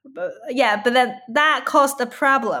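This voice has a bright, sharp tone. It carries a Chinese accent. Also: woman. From China (Yunnan). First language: Mandarin Chinese. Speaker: musician and poet. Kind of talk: interview. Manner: halting.

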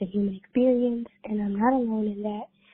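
A woman talks in an ordinary speaking voice, fairly high in pitch, with fairly even intonation. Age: 20s. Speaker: PhD student. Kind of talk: voicemail message. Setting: phone call.

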